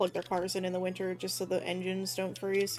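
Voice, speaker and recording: A woman at a medium pitch talks at a fairly quick pace over music in the background. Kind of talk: casual.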